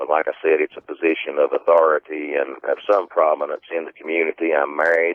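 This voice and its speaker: A man with a Southern Appalachian accent at a moderate pace, in a dry, close sound with no echo. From Southern Appalachians, US. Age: 50s. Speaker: eyewitness recounting a creature encounter. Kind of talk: interview.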